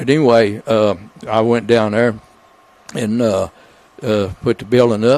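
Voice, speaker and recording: A man with an Arkansas accent speaks fairly slowly at a medium pitch, with long, frequent pauses. Noticeable background noise is present. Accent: Southern US (Arkansas). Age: 80s+. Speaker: retired builder and beekeeper. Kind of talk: casual interview chat. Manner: halting, many fillers.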